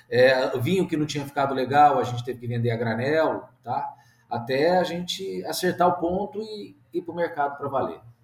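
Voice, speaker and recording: Lively intonation marks a man with a fairly high pitch who speaks at a moderate pace over noticeable background noise. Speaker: agronomist and winemaker. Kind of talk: interview, casual.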